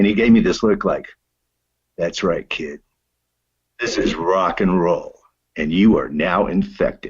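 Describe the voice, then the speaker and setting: His accent is American. The man talks at a moderate pace. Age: 60s. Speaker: singer-songwriter. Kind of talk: interview. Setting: online call.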